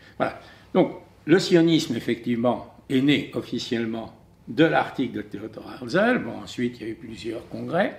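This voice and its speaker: A man talks at a fairly slow pace in a medium pitch with vocal fry. His intonation is lively and his loudness swings widely. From France. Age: 70s. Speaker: writer and commentator. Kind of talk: testimony.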